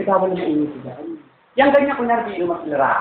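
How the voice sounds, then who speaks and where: A man's voice with very wide pitch swings, amid noticeable background noise and audible room echo. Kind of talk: casual chat. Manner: loud.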